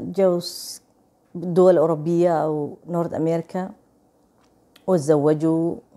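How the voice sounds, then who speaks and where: A woman's very slow, fairly low-pitched voice with a dark, mellow tone and an Egyptian accent, over a quiet background. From Saudi Arabia, Somali family. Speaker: vlogger. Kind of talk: casual vlog chat. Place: home room. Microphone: lapel.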